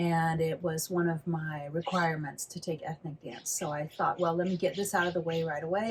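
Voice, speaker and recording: Somewhat breathy and fairly low, a woman's voice moves at a moderate pace with ordinary pitch variation. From California. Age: 60s. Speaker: flamenco dancer and teacher. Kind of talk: interview conversation.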